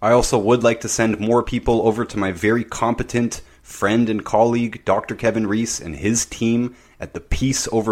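A plain, everyday voice, fairly even in intonation, moves along at a moderate pace. The background is silent on a very clean recording. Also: man. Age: 30s. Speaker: podcast host, health consultant. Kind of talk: solo monologue.

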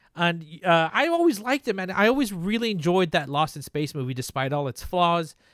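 In a very clean recording with a silent background, a man speaks at a fairly quick pace in a high pitch, with lively intonation, an animated tone and hardly any pauses. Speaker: podcast host. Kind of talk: casual banter. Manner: animated, joking.

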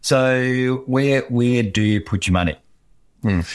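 This is a man with an Australian accent. His intonation is lively. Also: very clean recording, silent background. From Queensland, Australia. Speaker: technology lawyer. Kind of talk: interview.

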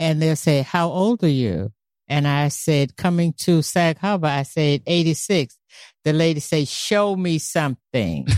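A New York accent with ordinary pitch variation and very even loudness, on a very clean recording with a silent background and a dry, close sound with no echo. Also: woman, very deep, low pitch for a woman. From US, New York City. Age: 80s+. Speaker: great-grandmother guest. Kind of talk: casual family interview.

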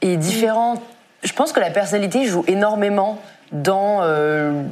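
A woman talks with lively intonation amid audible room echo. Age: 20s. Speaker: content creator and author. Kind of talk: live stream panel discussion. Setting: studio.

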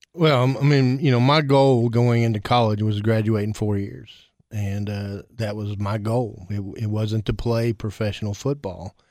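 The speaker has a Tennessee accent and ordinary pitch variation at a moderate pace. The recording is very clean, with a silent background. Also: man, fairly low pitch for a man. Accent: Tennessee Southern US. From Tennessee, Cookeville. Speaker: school district director. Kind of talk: casual interview.

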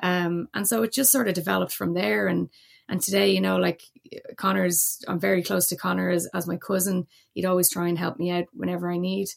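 A woman speaks with a Dublin accent. Her pace is fairly quick. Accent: Irish (Dublin). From Ireland, Dublin. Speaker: former Olympic hockey player and motorsport engineer. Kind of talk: podcast interview.

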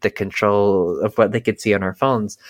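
Recorded very cleanly with a silent background and a dry, close sound without echo, a man with an American accent speaks in a normal speaking voice at a fairly low pitch and a moderate pace. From US South, North Carolina. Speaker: cult survivor and podcaster. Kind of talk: interview testimony.

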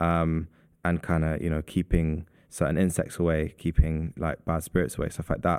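With a London accent, a man talks at a moderate pace in a very deep, low voice and a flat monotone, on a very clean recording with a silent background. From London, Southeast London. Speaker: artist and perfumer. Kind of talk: casual interview. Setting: gallery recording space.

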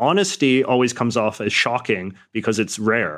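Recorded very cleanly against a silent background, a man of medium pitch speaks with a Western Canadian accent and ordinary pitch variation. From Western Canada. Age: 30s. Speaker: columnist and YouTuber. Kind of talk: interview.

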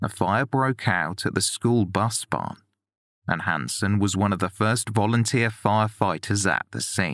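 A man speaks with a fairly low pitch and ordinary pitch variation. His is an unremarkable speaking voice. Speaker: podcast narrator. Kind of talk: true-crime narration, scripted and read aloud. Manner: measured, sombre, steady; formal, deliberate.

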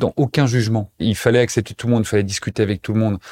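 Dry and close with no echo, this very clean recording with a silent background carries a man's fairly low-pitched voice with a dark, mellow tone. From eastern France, Montbéliard. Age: 30s. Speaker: association president, end-of-life rights advocate. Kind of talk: personal testimony interview. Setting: studio, seated back to back with host.

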